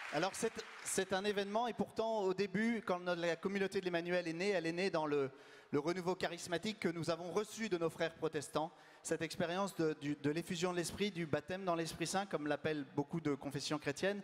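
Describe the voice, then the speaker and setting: A high-pitched man at a fairly quick pace, with very even loudness and fairly even intonation. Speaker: community leader hosting event. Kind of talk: event introduction.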